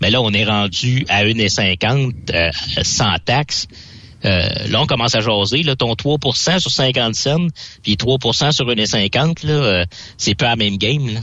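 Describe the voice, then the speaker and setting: Speaking in a Quebec accent at a very slow pace, a man keeps a medium pitch with ordinary pitch variation, very even loudness, and long, frequent pauses. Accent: Québécois French. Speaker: trucking equipment columnist. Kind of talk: radio chat.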